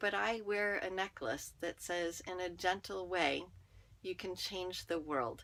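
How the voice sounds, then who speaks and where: Soft-spoken, a woman with a bright, sharp tone talks at a fairly low pitch and a fairly slow pace in a very clean recording with a silent background. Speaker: network marketer and podcaster. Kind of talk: personal monologue.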